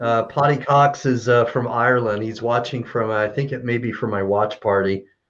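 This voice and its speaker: An American accent marks an ordinary speaking voice, a man's at medium pitch. He keeps a moderate pace and fairly even intonation, with hardly any pauses. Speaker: kidney patient awaiting transplant. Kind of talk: live-streamed interview.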